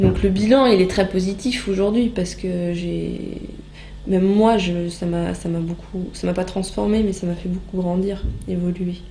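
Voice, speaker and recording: Audible room echo fills the space. A woman speaks at a moderate pace within it. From France, Normandy (Rouen). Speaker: former volunteer abroad. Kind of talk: interview testimony. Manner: hesitant, many filler sounds.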